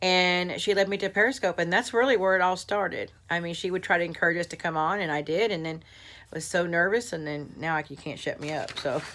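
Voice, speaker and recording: Speaking at a very fast pace with an American accent, a woman has a bright, sharp tone and ordinary pitch variation. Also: fairly low pitch for a woman. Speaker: craft youtuber. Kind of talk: casual vlog.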